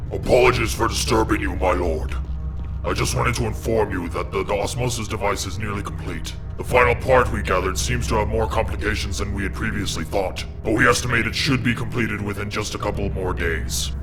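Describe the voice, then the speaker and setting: Against loud background noise, a man uses a put-on character voice with a very deep, low pitch at a fairly quick pace. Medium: machinima. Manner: deferential, hesitant, stammering.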